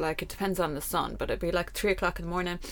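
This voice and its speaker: A woman speaks with an Irish accent. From Ireland. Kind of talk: casual chat.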